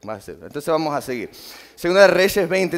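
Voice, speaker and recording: The man's fairly high pitch shows ordinary variation. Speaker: lay preacher. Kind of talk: sermon. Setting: church. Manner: informal, halting.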